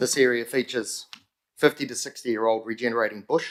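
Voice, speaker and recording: A man with a New Zealand accent speaks at a fairly quick pace with fairly even intonation. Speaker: community group convener presenting to council. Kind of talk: public submission to council committee. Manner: fast.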